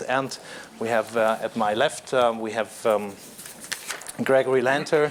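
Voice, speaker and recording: Someone with a German accent speaks at a fairly slow pace with fairly even intonation. Noticeable background noise runs underneath. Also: man. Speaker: panel moderator. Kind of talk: panel introduction. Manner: halting, many fillers.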